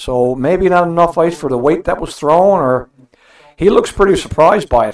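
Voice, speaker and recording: Moderately paced speech from a man, high in pitch, with ordinary pitch variation. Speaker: curling commentator. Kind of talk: live curling commentary. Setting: broadcast booth. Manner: easygoing, conversational, analytical.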